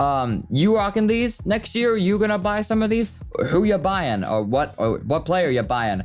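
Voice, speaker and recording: Noticeable background noise sits under the speech. The pace is moderate. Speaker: sports YouTuber. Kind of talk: casual vlog commentary. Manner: stammering; conversational, animated.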